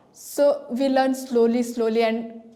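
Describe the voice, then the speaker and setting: A woman with an Indian accent speaks at a fairly high pitch amid noticeable background noise. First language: Hindi. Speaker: language school student. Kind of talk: prepared testimonial speech. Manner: halting, with false starts.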